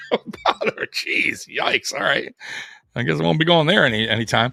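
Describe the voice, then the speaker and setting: The speaker talks at a moderate pace with an American accent. Music plays in the background. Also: man. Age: 40s. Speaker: sports streamer and bouncer. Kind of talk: live watch-along commentary with chat. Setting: solo livestream. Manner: casual, filler-heavy.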